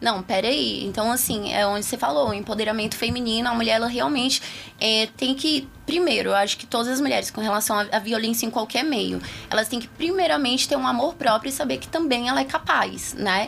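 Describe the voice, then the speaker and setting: This woman's fairly high voice moves at a fairly quick pace, with lively intonation and some vocal fry. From Taguatinga, Federal District, Brazil. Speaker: political candidate. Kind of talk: interview. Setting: radio studio.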